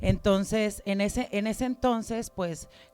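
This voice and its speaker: A woman at a very slow pace with ordinary pitch variation, music playing in the background. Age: 30s. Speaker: church member giving testimony. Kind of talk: testimony.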